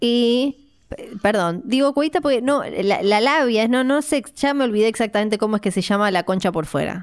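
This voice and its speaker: Over a very clean recording with a silent background, a woman with a plain, everyday voice speaks at a fairly high pitch and moderate pace, with lively intonation and very even loudness. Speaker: podcast co-host, film commentator. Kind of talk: casual chat.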